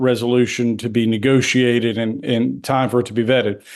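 The speaker has an ordinary speaking voice. The pace is moderate. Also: man. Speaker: congressman. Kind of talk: radio interview about politics.

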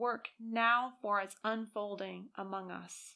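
At a very slow pace, a woman's voice comes across as bright and sharp in tone yet solemn and warm, on a very clean recording with a silent background. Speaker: narrator reading a published article. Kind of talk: fervent spoken prayer read aloud. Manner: solemn, earnest, reverent and slow-paced; warm, heartfelt, pleading tone.

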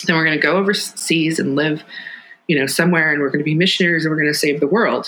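Over noticeable background noise, a woman with a very deep, low pitch speaks at a very fast pace. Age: 40s. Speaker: author. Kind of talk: interview conversation. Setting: at home kitchen table.

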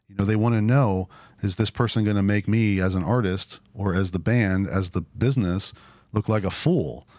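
A man with a normal speaking voice, fairly low in pitch, with ordinary pitch variation and a moderate pace. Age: 40s. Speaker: drummer and church planter. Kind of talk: interview.

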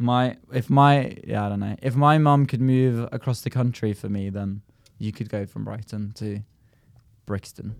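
A man speaks with a southern English accent at a moderate pace. His medium pitch stays fairly even in intonation. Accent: southern English, almost RP. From rural Norway. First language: Norwegian. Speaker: comedian. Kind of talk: casual chat.

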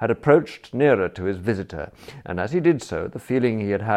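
Lively intonation in plain reading aloud.

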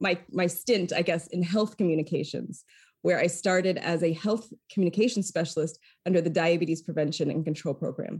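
A woman's fairly low, somewhat breathy voice with an American accent, at a fairly quick pace with fairly even intonation, on a very clean recording with a silent background. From Maine, US (Lewiston). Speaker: foundation communications executive. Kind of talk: interview.

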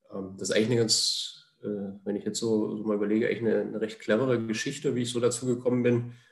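Speaking very fast with hardly any pauses, a man delivers a monotone, flat line at medium pitch amid audible room echo. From Thuringia, Jena (eastern Germany). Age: 30s. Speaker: goalkeeper coach. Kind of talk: podcast interview. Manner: hesitant, many filler sounds.

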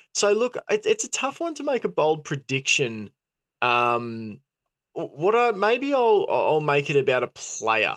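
A man with an Australian accent speaks in a high voice with very wide pitch swings, and the sound is dry and close with no echo. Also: fairly slow pace. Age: 30s. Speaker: football podcast host. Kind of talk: casual chat. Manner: halting.

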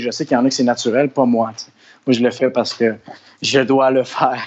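With a Quebec accent, a man speaks at a fairly quick pace. His medium pitch stays monotone and flat. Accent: Québécois French. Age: 30s. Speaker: actor and musician. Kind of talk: interview. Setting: studio.

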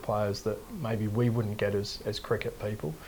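This voice has an Australian accent and sounds somewhat breathy. The pace is fairly quick. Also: man. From Western Australia, Perth hills. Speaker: cricket coach. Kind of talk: interview. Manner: hesitant, many fillers.

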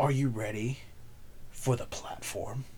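At a fairly slow pace and medium pitch, a man performs a put-on character voice while clear background noise sounds behind him. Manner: dramatic, showy.

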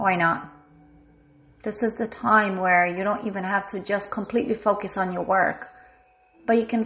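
A woman is speaking. She has a non-native accent. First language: not English (bilingual). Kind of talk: guided check-in, reflective monologue. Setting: home recording during lockdown, working from home.

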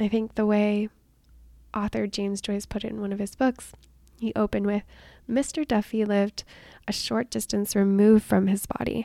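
A woman's medium-pitched voice with a dark, mellow tone and a dry, close sound free of echo. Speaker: health and weight loss coach. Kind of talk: solo podcast monologue. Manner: laughs often.

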